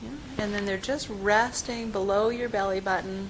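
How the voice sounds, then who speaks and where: Over noticeable background noise, a woman with a gentle, calm tone speaks at a medium pitch and moderate pace with ordinary pitch variation. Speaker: physical therapist and movement teacher. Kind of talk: guided relaxation class.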